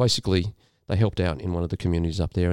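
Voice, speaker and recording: On a very clean recording with a silent background, a man with an Australian accent speaks in a very deep, low voice with a dark, mellow tone and ordinary pitch variation, the sound dry and close with no echo. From rural New South Wales, Australia. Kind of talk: casual chat.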